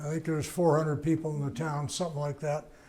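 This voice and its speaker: Somewhat breathy, fairly high-pitched man's voice with an American accent and monotone, flat intonation. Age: 90s. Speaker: veteran motorcycle racer and author. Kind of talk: interview before live audience. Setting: museum event before a live audience. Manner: halting, with many fillers.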